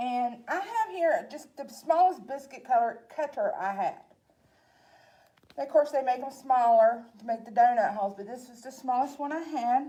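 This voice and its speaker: A woman with a Southern accent speaks at a moderate pace in a high voice, her intonation lively and her loudness swinging widely. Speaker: library staff cooking host. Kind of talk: cooking tutorial. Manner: casual, chatty.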